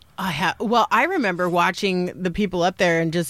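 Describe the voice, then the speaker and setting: At a fairly quick pace, a woman speaks in an ordinary speaking voice with a fairly low pitch. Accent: American. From Salt Lake City, Utah. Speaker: comedian. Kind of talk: casual chat. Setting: studio.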